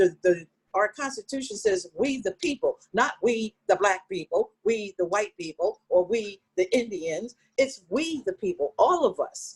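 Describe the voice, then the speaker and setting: With a fairly high pitch and very wide pitch swings, a somewhat breathy woman speaks at a fairly slow pace in a dry, close sound with no echo. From Philadelphia, US. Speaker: community activist. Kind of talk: casual chat. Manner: animated.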